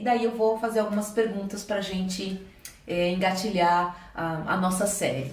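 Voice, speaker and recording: Audible room echo and noticeable background noise accompany a woman speaking at a moderate pace and medium pitch with ordinary pitch variation. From interior of São Paulo state, Brazil. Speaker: theatre actress and teacher, channel host. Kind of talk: interview introduction.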